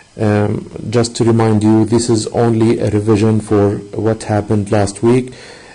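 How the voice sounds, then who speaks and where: Over noticeable background noise, a man talks in a fairly low, monotone voice with flat intonation. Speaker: math teacher. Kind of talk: online lesson. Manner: hesitant, many fillers.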